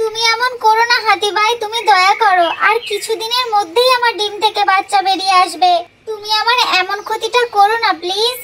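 A cartoonish character voice, female-sounding and pitched extremely high, moving at a moderate pace. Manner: pleading.

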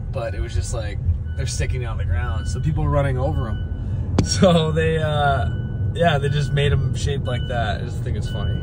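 A man speaks fairly quickly with noticeable background noise in the recording. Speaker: vlogger. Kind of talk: casual vlog chat. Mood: cheerful, laughing. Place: car. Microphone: phone near.

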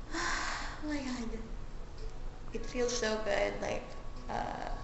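A woman speaks at a very slow pace. Noticeable background noise and audible room echo surround her voice. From Philippines. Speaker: vlogger. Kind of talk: casual vlog talk to camera.

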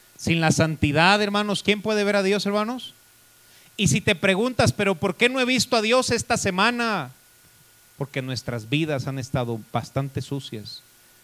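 A man with a high pitch and an animated tone makes very wide pitch swings. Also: moderate pace. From Mexico. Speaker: pastor. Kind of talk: sermon. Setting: church. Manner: animated, preacherly, rhetorical questions to congregation. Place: church. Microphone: handheld.

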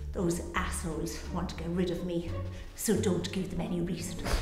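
Audible room echo surrounds a woman speaking at a fairly slow pace. Faint music plays in the background. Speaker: actor playing a worried boss. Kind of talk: scripted drama dialogue. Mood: tense, angry, insistent.

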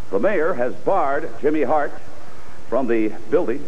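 Light background noise is present. The man talks at a moderate pace. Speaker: TV interviewer and announcer. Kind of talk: wrestling promo hosting. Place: studio. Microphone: handheld.

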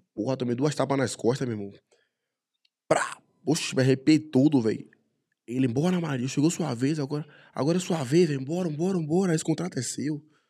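Against a quiet background, a man with a fairly high pitch and a dark, mellow tone talks at a fairly quick pace with ordinary pitch variation and long, frequent pauses. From Salvador, Bahia, Brazil (Brotas); Bahia, Brazil. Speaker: MMA fighter; guest. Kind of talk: casual chat. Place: studio. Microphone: studio mic.

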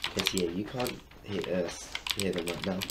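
A man talks with ordinary pitch variation. Noticeable background noise runs under his voice. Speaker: streamer. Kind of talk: casual livestream chat while gaming. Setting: live stream with voice call to friends.

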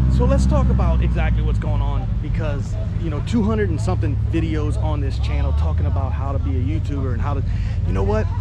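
Here a man talks at a very fast pace. The sound is dry with no echo, and loud background noise is present. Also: ordinary pitch variation. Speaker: vlogger. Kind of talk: casual vlog chat. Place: open country. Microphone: phone near.

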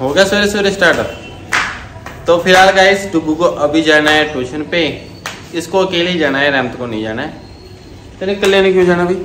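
A man's high pitch with ordinary pitch variation at a fairly slow pace, amid noticeable background noise. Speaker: family vlogger. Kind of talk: casual vlog chat. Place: home room. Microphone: phone near.

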